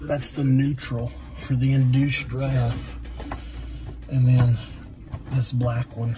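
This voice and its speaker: Very slow speech from a man, with noticeable background noise behind it. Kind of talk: tutorial. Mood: casual, matter-of-fact. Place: shop. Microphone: phone near.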